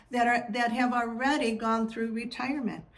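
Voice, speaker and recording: A woman speaks in a warm, somewhat breathy tone. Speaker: podcast host. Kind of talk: scripted welcome introduction. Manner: warm, conversational.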